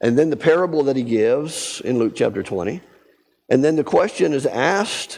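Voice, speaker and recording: A man's fairly high-pitched voice with a dark, mellow tone and vocal fry. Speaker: Bible study teacher. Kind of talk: Bible study lesson.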